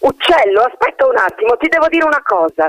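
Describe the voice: In a put-on character voice, a man talks at a fairly quick pace with an extremely high pitch, a fairly bright tone and big pitch swings. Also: dry, close sound with no echo.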